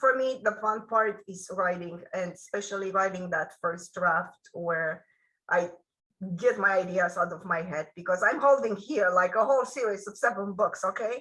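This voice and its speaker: A woman with a Romanian accent and ordinary pitch variation. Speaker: author. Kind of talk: interview.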